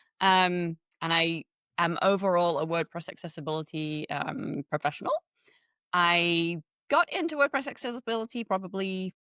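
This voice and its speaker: A woman's fairly low-pitched voice with a bright, sharp tone and lively intonation, at a moderate pace with long, frequent pauses, in a dry, close, echo-free, very clean recording with a silent background. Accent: English. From England. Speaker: web accessibility consultant. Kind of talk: interview.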